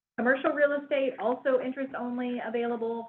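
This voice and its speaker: A woman speaks at a fairly quick pace. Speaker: bank collateral specialist presenting a webinar. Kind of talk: webinar presentation. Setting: online webinar. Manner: fast.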